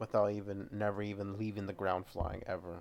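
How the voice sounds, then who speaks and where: The very clean recording, with a silent background, captures a man speaking at a moderate pace. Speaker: podcast host. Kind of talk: casual solo show review. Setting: home recording with microphone. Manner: monotone.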